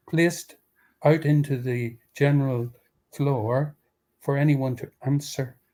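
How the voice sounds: Fairly even intonation from a natural reading voice, with a quiet background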